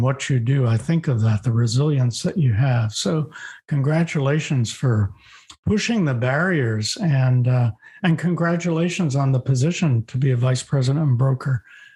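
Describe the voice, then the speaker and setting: A somewhat breathy man with a dark, mellow tone at a fairly high pitch, moderate pace and ordinary pitch variation, against a quiet background. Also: very even loudness. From US East Coast. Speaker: podcast host, executive coach. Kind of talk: interview conversation.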